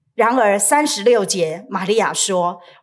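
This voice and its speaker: A woman with a Taiwanese accent, medium pitch, lively intonation and a very slow pace, on a very clean recording with a silent background. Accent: Taiwanese Mandarin. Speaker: pastor. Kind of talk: sermon.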